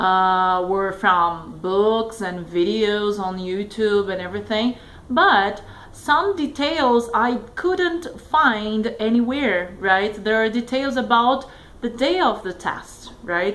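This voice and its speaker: Over noticeable background noise and audible room echo, a woman with a Brazilian Portuguese accent speaks at a very slow pace in a fairly high pitch with lively intonation. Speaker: test taker sharing exam tips. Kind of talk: casual tutorial vlog. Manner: hesitant, many fillers.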